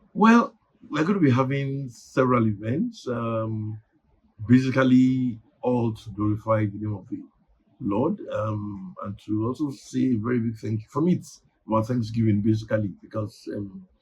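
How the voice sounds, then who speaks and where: A somewhat breathy man with a Nigerian accent speaks with ordinary pitch variation. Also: medium pitch for a man, moderate pace. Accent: Nigerian (Yoruba) English. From Nigeria, Ibadan (southwest Yoruba region). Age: 60s. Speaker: newspaper publisher. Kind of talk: interview. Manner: hesitant, many fillers.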